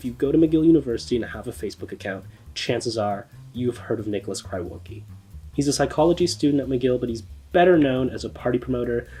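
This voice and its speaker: Music plays in the background as a man speaks at a very fast pace and medium pitch with lively intonation. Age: 20s. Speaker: student video producer. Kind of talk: scripted narration. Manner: casual, conversational.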